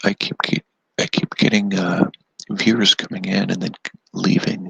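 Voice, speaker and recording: A soft-spoken man at medium pitch talks at a moderate pace with very wide pitch swings. The sound is dry and close, with no echo. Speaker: DIY YouTuber. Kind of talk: casual live stream chat. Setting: indoors at home, live stream.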